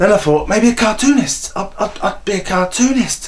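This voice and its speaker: Noticeable background noise accompanies a man talking at a moderate speed. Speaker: aspiring stand-up comedian. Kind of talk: documentary voiceover.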